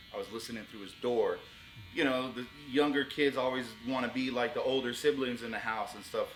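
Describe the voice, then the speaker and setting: Music plays in the background as a man speaks fairly quickly at a medium pitch with an American accent. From US, Orlando, Florida (Pine Hills). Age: 40s. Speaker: rapper and show host. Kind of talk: interview. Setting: barbershop.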